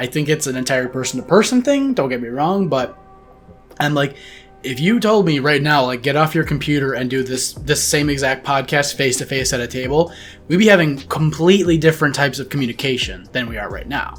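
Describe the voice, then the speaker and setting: A man speaks at a fairly high pitch with ordinary pitch variation and an animated tone. Music plays in the background. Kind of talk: casual chat. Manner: fast.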